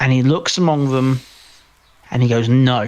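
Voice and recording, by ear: A man talks at a moderate pace in a medium pitch, his tone slightly mellow and his intonation fairly even.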